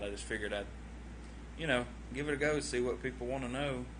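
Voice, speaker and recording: With a Southern US accent, a man talks at a very fast pace. There is audible room echo and noticeable background noise. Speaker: vlogger. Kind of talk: casual livestream chat. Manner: rambling, hesitant with many fillers.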